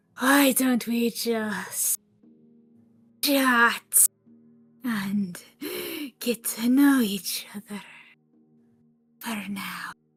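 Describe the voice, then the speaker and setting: A put-on character voice, female-sounding, croaky and raspy, at a fairly high pitch and very slow pace, with long, frequent pauses and faint music in the background. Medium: audio drama. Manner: slow, oozing, falsely friendly.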